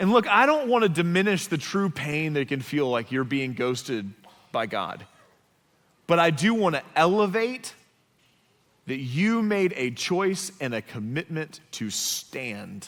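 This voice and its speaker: A man speaks in a high voice at a fairly slow pace. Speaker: pastor delivering a sermon. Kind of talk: sermon preached to a congregation. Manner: conversational, direct, occasionally humorous.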